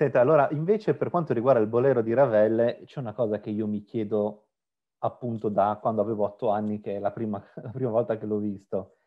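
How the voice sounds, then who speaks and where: This man has a normal speaking voice at a medium pitch. His pitch varies an ordinary amount. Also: fairly quick pace. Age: 40s. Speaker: interviewer, web channel host. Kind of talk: interview.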